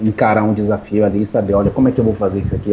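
Amid noticeable background noise, a man talks at a very fast pace in a fairly low pitch. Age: 40s. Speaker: filter creator and music producer. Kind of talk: casual chat.

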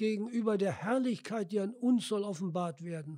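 The man's voice is high in pitch yet dark and mellow in tone. The recording is very clean with a silent background. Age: 80s+. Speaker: church member giving devotional. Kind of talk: devotional talk. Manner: formal.

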